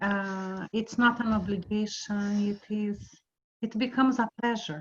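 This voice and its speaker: A woman with a non-native accent speaks at a fairly slow pace. Her voice is somewhat breathy, with a fairly high pitch. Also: fairly even intonation. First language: not English. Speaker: teacher. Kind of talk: group discussion.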